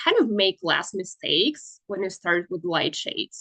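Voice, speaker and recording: Her voice sits at a medium pitch. The speaker is a woman. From Russia. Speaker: industrial designer and workshop teacher. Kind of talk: online workshop lecture. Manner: hesitant, many fillers.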